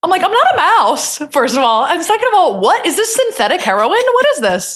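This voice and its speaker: A woman with an American accent talks fairly quickly at an extremely high pitch, her tone animated and her pitch swinging very widely. Her loudness stays very even. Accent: New Jersey, comes out at times. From New Jersey. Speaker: comedian. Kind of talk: casual chat.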